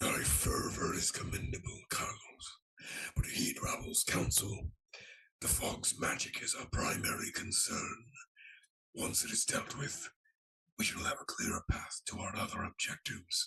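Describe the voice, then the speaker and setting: A raspy, whispering put-on character voice from a man, at a moderate pace. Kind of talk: archaic formal speech. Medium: actual play. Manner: regal, measured.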